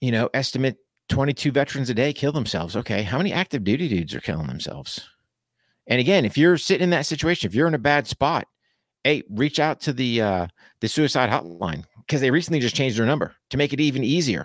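With vocal fry and very wide pitch swings, a man speaks at a very fast pace in a medium pitch, recorded dry and close with no echo, very clean, against a silent background. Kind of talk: pep talk. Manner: direct, urgent, motivational, punchy second-person commands; earnest, folksy, blunt, and emphatic.

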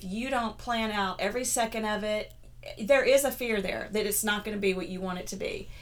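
A woman at fairly high pitch with an unremarkable speaking voice, lively intonation and a moderate pace. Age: 50s. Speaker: blogger and health coach. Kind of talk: casual chat.

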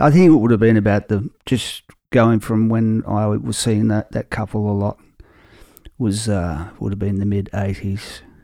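In a very clean recording with a silent background, a man talks at a moderate pace with a fairly low pitch, ordinary pitch variation and a dark, mellow tone. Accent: Australian. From Australia, Victoria (Werribee). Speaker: singer-songwriter. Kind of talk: casual interview chat. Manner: halting, many fillers and repeats.

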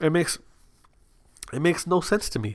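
Vocal fry marks a man's fairly high voice with very wide pitch swings. He talks at a fairly quick pace in a very clean recording with a silent background. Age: 20s. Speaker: gaming podcast host. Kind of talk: casual solo podcast monologue. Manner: halting, many fillers.

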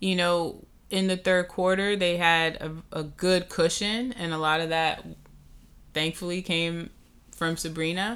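A woman with a New York accent and a fairly low pitch speaks at a fairly slow pace with fairly even intonation, in a very clean recording with a silent background. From Brooklyn, New York. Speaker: sports podcast co-host. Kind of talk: casual chat.

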